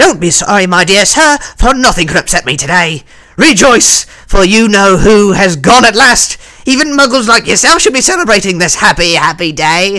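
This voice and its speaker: Raised and projected, a man's put-on character voice comes out high and squeaky, with lively intonation at a moderate pace. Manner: cheerful, delighted.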